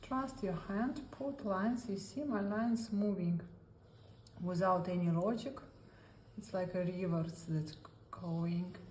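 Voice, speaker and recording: With noticeable background noise and audible room echo, a woman speaks at a fairly slow pace and medium pitch, using ordinary pitch variation and long, frequent pauses. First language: Russian. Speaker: art therapy instructor. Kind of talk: tutorial. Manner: halting non-native English.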